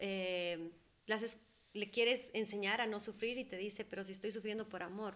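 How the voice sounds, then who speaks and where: Speaking at a moderate pace, a woman of medium pitch has an unremarkable speaking voice and fairly even intonation. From Ecuador, moved to the US at age 10. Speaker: holistic therapist. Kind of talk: interview conversation. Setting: studio.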